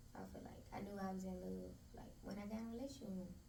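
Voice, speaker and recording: A woman with an American accent talks at a very fast pace, with audible room echo and noticeable background noise. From Memphis, Tennessee. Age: 20s. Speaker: interview guest, spa owner. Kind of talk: casual interview chat.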